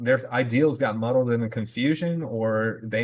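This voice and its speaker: A man with an American accent at a medium pitch, fairly even intonation and a moderate pace, with a quiet background. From US South. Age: 40s. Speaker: podcast host, Marine veteran. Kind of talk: casual discussion podcast.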